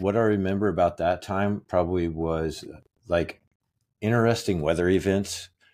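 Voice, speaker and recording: A man talks with an American accent. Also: very clean recording, silent background. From Kansas. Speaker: podcast cohost. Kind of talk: casual chat.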